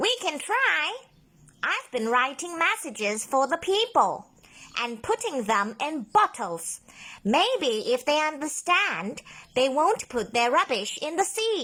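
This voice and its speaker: A woman speaks in a put-on character voice, high-pitched and fairly slow, with very wide swings in pitch. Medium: read story.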